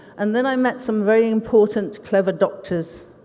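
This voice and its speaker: A woman with a British accent, fairly even intonation and a fairly quick pace. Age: 60s. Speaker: ceramic artist. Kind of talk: conference talk. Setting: stage with audience.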